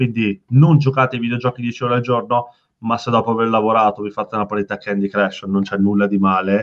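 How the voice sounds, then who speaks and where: Talking at a very fast pace, a man keeps a fairly even intonation. His delivery rarely rises or falls much. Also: medium pitch for a man. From Veneto, Italy. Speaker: startup founder. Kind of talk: casual interview chat.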